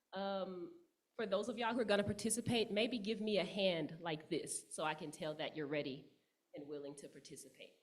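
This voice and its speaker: A woman at a medium pitch and moderate pace, with very wide pitch swings and audible room echo. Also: big swings in loudness. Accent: American. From Texas, Dallas. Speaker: yoga teacher and writer. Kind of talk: guided yoga instruction. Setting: church service. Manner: loud; calm, with frequent fillers.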